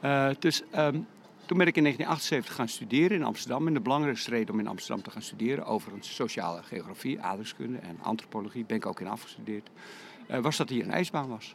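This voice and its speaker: Talking at a very fast pace, a man of medium pitch uses very wide pitch swings and vocal fry. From Netherlands, Lek region (South Holland). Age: 60s. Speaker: skating coach. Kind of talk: interview.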